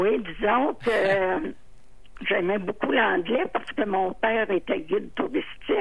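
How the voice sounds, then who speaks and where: Very slow and very even in loudness, a woman speaks at a fairly high pitch with lively intonation. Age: 80s+. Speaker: retired legal secretary. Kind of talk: interview answer.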